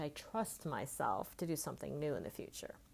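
A woman speaks with an American accent at a moderate pace. Her intonation is lively, with vocal fry. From California. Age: 50s. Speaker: life coach. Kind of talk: solo monologue podcast.

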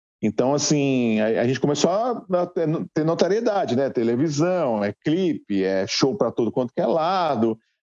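A man with a fairly high, dark, mellow voice talks at a moderate pace with very wide pitch swings, recorded dry and close with no echo. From Guarulhos, São Paulo, Brazil. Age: 40s. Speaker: rock musician. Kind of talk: casual interview.

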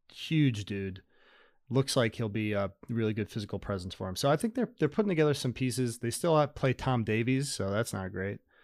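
On a very clean recording with a silent background, a man with an unremarkable speaking voice talks fairly quickly in a medium pitch with ordinary pitch variation. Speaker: podcast co-host.

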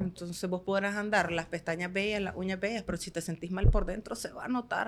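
This woman has a plain, everyday voice at a medium pitch. She speaks at a fairly quick pace with fairly even intonation. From Nicaragua, Estelí. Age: 30s. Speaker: manicurist and entrepreneur. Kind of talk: podcast interview.

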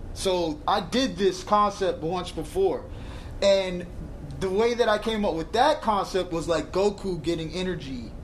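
With audible room echo, a man speaks at a fairly slow pace in a high pitch with ordinary pitch variation. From New York (Brooklyn/Brownsville), moved to Florida at 12. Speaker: rapper. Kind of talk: casual chat. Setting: barbershop.

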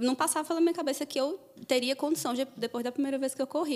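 A woman talks at a very fast pace. Her voice sits high in pitch. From interior of Paraíba, Brazil. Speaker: psychologist, successful exam candidate. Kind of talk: interview, personal testimony.

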